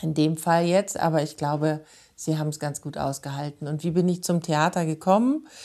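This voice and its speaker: Against a quiet background, a woman speaks at a moderate pace with fairly even intonation. Her very deep, low pitch carries a dark, mellow tone. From Munich, Bavaria. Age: 40s. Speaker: theatre director and actress. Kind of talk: interview.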